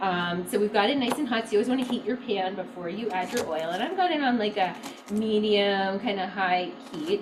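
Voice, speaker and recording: With an American accent, a woman speaks at a fairly quick pace, using a medium pitch and ordinary pitch variation, over noticeable background noise. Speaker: health practice host. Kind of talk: cooking demonstration.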